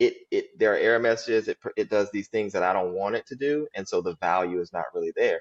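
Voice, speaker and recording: In an American accent with hardly any pauses, the speech has a dry, close sound with no echo. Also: man. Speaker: healthcare IT director. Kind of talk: podcast interview.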